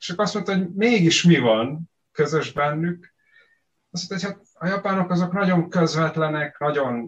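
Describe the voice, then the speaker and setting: This man's voice sits fairly high in pitch. He talks at a fairly slow pace with ordinary pitch variation. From Vojvodina, Serbia (Hungarian minority, Zenta). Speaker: researcher, mathematician. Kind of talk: casual interview. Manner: halting, many repeated words.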